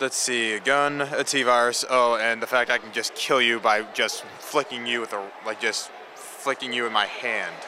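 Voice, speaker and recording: A man speaks at a moderate pace and medium pitch with hardly any pauses, his intonation monotone and flat. Noticeable background noise runs underneath. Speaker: convention attendee cosplayer. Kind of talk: casual interview answers. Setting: convention floor.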